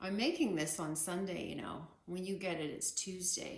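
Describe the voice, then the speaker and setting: A soft-spoken woman with vocal fry talks at a fairly slow pace, with audible room echo. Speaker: artist teaching painting. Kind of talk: casual tutorial. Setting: home art studio. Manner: soft-spoken, keeping voice down; hesitant, many fillers.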